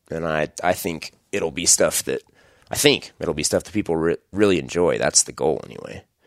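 A man with an American accent speaks at a moderate pace, his loudness swinging widely in a dry, close sound with no echo. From Idaho, US. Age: 30s. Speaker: hunting podcast host. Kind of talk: solo podcast monologue. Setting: home bedroom, recording alone.

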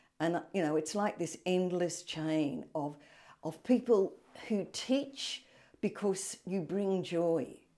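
In a very clean recording with a silent background, a woman with an Australian accent speaks very slowly, her fairly low, dark, mellow voice carrying lively intonation. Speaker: retired English teacher. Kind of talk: interview.

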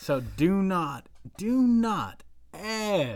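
In a Southern US accent, a man speaks with very wide pitch swings. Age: 20s. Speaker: podcast co-host. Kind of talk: casual chat.

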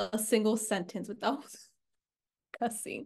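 With an American accent, a woman speaks at a fairly slow pace in a fairly high pitch. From Chicago, southwest side. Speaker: college student podcast co-host. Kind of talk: casual chat.

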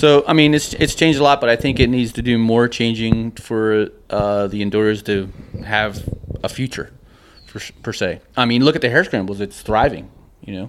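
This man talks at a moderate pace in a normal speaking voice, at a medium pitch with ordinary pitch variation. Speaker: racer. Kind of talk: casual chat.

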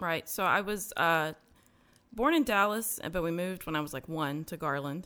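A woman speaks at a moderate pace in a normal speaking voice, fairly low in pitch with ordinary pitch variation. The recording is very clean, with a silent background. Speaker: podcast host and interviewee sharing testimony. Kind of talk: testimony interview.

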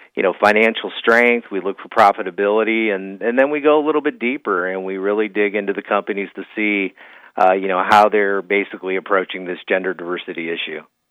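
Fast-paced and fairly low in pitch, a man talks with ordinary pitch variation.

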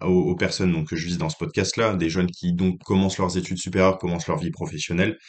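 A man with a very deep, low pitch, against a quiet background. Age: 20s. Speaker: podcast host giving financial advice. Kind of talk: solo advice monologue. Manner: hesitant, many fillers and repetitions.

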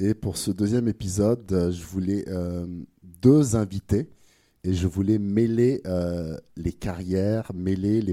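A man speaks very slowly at a fairly low pitch, his tone dark and mellow with ordinary pitch variation. The recording is very clean and dry, close with no echo and a silent background. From France. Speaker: podcast host. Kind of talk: casual interview. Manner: hesitant, many fillers.

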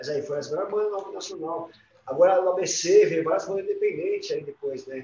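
Loudness swings widely as a man talks at a moderate speed. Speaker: rock band musician. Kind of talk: casual chat.

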